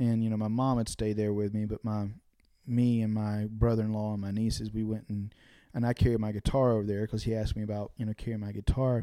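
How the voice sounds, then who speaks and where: A man with an American accent speaks at a fairly quick pace. His fairly low, dark, mellow voice has monotone, flat intonation. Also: very clean recording, silent background. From eastern North Carolina (Dunn, Harnett County). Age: 30s. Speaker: singer-songwriter. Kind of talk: casual interview chat.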